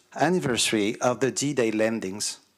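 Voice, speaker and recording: A man talks at a fairly slow pace in a French accent, with ordinary pitch variation. The recording is very clean, with a silent background. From France. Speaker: councillor, visiting delegate. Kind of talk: formal ceremonial speech.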